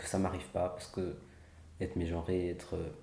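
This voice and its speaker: Over audible room echo, a man with a very deep, low pitch talks at a fairly quick pace in a flat monotone, his dark, mellow tone somewhat breathy. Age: 20s. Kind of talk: interview testimony.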